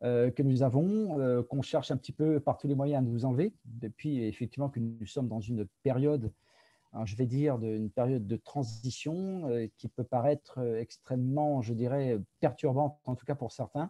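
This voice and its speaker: Against a quiet background, a man speaks at a moderate pace with a dark, mellow tone and ordinary pitch variation, the sound dry and close with no echo. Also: medium pitch for a man. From France. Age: 50s. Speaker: product presenter. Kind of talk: presentation. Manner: hesitant, many fillers.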